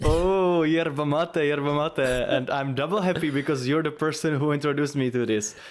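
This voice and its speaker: With a Czech accent, a man with a fairly high voice speaks at a moderate pace, his loudness very even, his intonation fairly even, and hardly any pauses. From Czech Republic. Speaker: podcast co-host, music performer. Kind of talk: casual chat.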